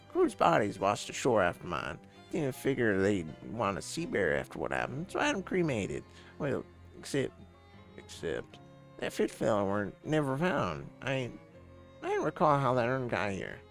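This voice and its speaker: Over clear music in the background, a man does a gruff, put-on character voice at a medium pitch and moderate pace, his pitch swinging very widely between long, frequent pauses. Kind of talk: old sea dog speech. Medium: game stream. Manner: gruff, salty sailor talk.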